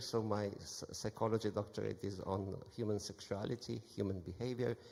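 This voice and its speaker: Speech moves at a moderate pace with fairly even intonation. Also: man. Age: 60s. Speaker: psychoanalyst. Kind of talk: lecture.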